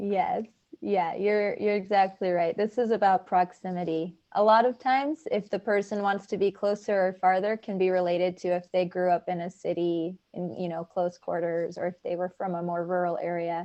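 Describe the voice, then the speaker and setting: At a moderate pace with hardly any pauses, a woman speaks in an unremarkable speaking voice, medium in pitch and fairly even in intonation. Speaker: refugee volunteer trainer. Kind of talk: training session.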